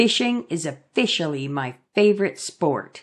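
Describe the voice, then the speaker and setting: At a moderate pace, a female-sounding put-on character voice speaks at a low-to-middle pitch. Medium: read story. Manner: eager, curious.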